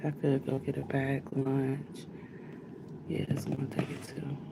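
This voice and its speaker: A woman speaks quietly. Her pitch is very deep and low. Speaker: livestreamer, vlogger. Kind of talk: casual livestream chat. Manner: talking low, quiet.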